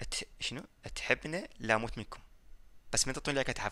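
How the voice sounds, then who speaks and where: A man with an Iraqi accent at a fairly quick pace, bright, sharp tone, ordinary pitch variation, big swings in loudness and long, frequent pauses against a quiet background. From Iraq, Baghdad. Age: 20s. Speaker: gaming YouTuber. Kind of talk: casual Q&A reading comments. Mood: joking, teasing. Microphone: headset.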